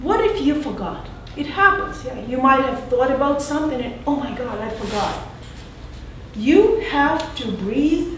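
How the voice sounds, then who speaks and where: A woman with a non-native accent and a high pitch speaks at a fairly slow pace with lively intonation. Noticeable background noise and audible room echo fill the recording. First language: not English. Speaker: general evaluator at a public speaking club. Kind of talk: meeting feedback speech.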